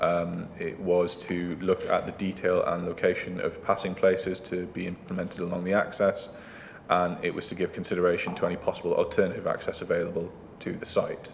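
Light background noise behind a man speaking at a fairly quick pace. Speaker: council planning officer. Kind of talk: formal presentation to a council committee. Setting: council meeting room. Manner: halting, repeats words. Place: meeting room.

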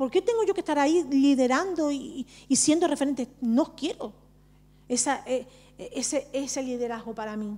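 A high-pitched woman is speaking. Her pace is moderate. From Barcelona, Spain (Romani family of Andalusian roots). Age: 40s. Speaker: social worker and Romani activist; speaker. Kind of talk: personal testimony at a panel talk. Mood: earnest, reflective. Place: hall. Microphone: handheld.

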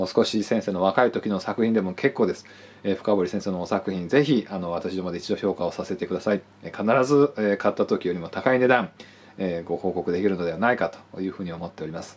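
A man with a very deep, low pitch talks at a fairly quick pace, with ordinary pitch variation. His loudness swings widely. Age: 40s. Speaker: art buyer and appraiser. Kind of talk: sales pitch. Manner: formal, polite. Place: office. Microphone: phone near.

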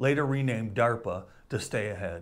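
Lively intonation from a man. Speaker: history channel host. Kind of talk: scripted educational short. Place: home room. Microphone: lapel.

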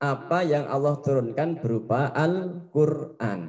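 Very slow speech in a dark, mellow tone, with lively intonation over a quiet background. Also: man. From Indonesia. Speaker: primary school Arabic teacher. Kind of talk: lesson for children. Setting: classroom. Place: studio. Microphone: handheld.

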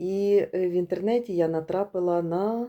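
On a very clean recording with a silent background, a woman with a fairly low pitch speaks at a very slow pace. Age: 50s. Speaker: course participant giving a testimonial. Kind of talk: testimony.

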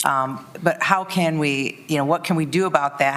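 A woman's very deep, low pitch against noticeable background noise. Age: 50s. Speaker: city commissioner. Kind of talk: public meeting discussion. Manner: halting.

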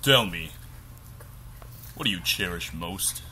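A man uses a put-on character voice with a very deep, low pitch at a fairly slow pace. Clear background noise can be heard. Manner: menacing, sinister.

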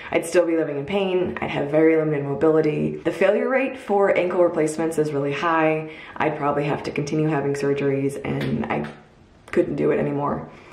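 This woman's voice has a very deep, low pitch. She talks at a fairly quick pace, with audible room echo. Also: ordinary pitch variation. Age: 20s. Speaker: video blogger sharing personal story. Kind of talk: personal storytelling vlog. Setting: at home recording a video. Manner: casual, conversational. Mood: earnest, reflective, upbeat at end. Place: home room. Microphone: phone near.

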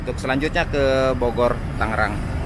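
A man's voice at a moderate pace, dry with no echo, over noticeable background noise. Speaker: travel vlogger. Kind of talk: travel commentary. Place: street.

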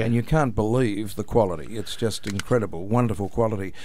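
The speaker is a man. He has an Australian accent. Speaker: announcer, voice-over artist. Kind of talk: radio interview answer. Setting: radio studio.

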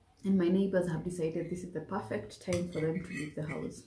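A woman's dark, mellow voice at a fairly low pitch and fairly quick pace, with fairly even intonation and audible room echo

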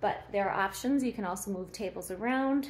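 A fairly slow delivery, pitch shifting normally. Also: woman. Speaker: inn host giving a tour. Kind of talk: casual walkthrough tour. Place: hall. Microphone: phone near.

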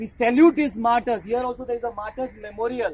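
A woman speaks loudly in a high voice at a fairly quick pace. Her tone is animated. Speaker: rally speaker. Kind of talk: rally speech to students, patriotic call and response. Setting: outdoors rally with crowd. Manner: animated, loud, rousing; repetitive, emphatic. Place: street.

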